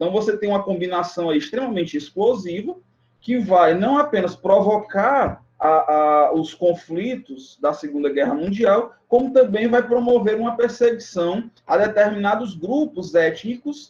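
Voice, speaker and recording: This man talks at a fairly slow pace in a high pitch, with lively intonation and hardly any pauses. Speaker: teacher. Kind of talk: online exam review lecture. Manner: hesitant, many fillers.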